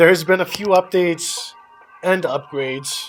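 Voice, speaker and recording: Music plays behind a man who speaks at a fairly slow pace with ordinary pitch variation. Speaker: RC hobby youtuber. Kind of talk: product review. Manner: casual, hesitant with fillers.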